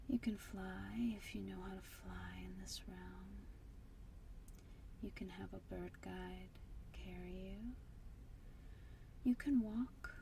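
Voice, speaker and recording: Soft-spoken and very slow, a woman speaks with long, frequent pauses and big swings in loudness. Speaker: meditation guide. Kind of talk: guided meditation. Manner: soft-spoken, slow.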